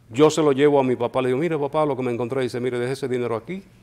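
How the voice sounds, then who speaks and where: Here a man speaks with a fairly high pitch. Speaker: radio announcer. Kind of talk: interview answer.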